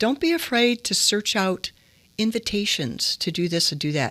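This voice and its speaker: A woman with an American accent speaks at a fairly slow pace with lively intonation, in a dry, close sound with no echo. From US Midwest, Detroit, Michigan. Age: 60s. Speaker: entrepreneur. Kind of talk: interview.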